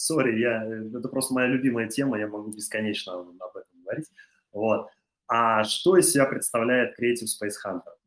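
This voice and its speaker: Speaking at a moderate pace and medium pitch, a man keeps his intonation fairly even while his loudness swings widely. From Russia, Chuvashia (Cheboksary). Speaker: creative industries entrepreneur. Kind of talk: interview. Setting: studio. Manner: halting, many fillers.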